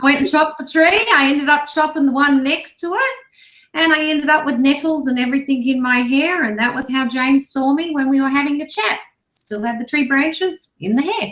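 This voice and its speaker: In a Sydney accent, a woman speaks with a high voice and ordinary pitch variation. Her pace is fairly quick. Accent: Sydney Australian. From Australia, Sydney. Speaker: internet marketer. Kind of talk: casual video interview.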